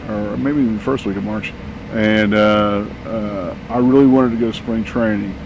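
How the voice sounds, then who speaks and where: In a room with audible echo and noticeable background noise, a man speaks at a moderate pace with a fairly low pitch and fairly even intonation. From Texas. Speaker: van traveler, widower. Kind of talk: casual interview. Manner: halting, many fillers.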